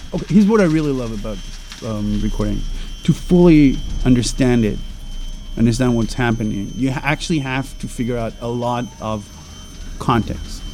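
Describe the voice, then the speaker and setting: Noticeable background noise behind a male speaker, moderately paced, with long and frequent pauses. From Israel, Jerusalem. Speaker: sound artist. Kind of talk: casual interview. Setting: outdoors on a terrace. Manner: halting, many fillers.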